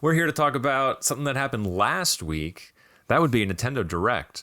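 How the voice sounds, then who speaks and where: A man speaks at a very fast pace in a bright, sharp tone, with very wide pitch swings. The recording is very clean, with a silent background. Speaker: podcast host. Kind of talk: casual chat.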